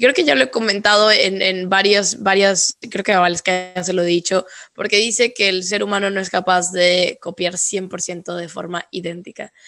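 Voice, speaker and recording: Hardly pausing, a woman talks at a moderate pace and medium pitch with fairly even intonation. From northern Mexico. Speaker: podcast host. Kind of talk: interview.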